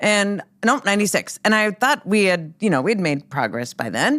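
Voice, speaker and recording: Speaking at a moderate pace with an Upper Midwest accent, a woman uses a medium pitch and very wide pitch swings. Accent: Upper Midwest American. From North Dakota, Minot. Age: 50s. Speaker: sportscaster and radio host. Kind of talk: podcast interview. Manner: casual, with fillers.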